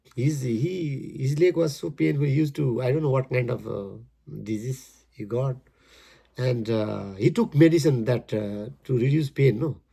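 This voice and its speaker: At a moderate pace and medium pitch, a man sounds somewhat breathy with a dark, mellow tone and lively intonation, recorded very cleanly over silence. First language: Nepali. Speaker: amateur poet, engineer. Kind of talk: poetry reading with commentary. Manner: halting, repetitive.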